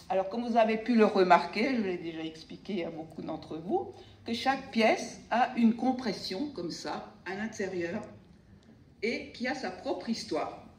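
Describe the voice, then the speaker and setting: Speaking fairly slowly with an Alsatian accent, a woman's fairly high voice swings widely in loudness amid noticeable background noise and audible room echo. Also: lively intonation. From Alsace, France. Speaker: sculptor. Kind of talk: speech to audience.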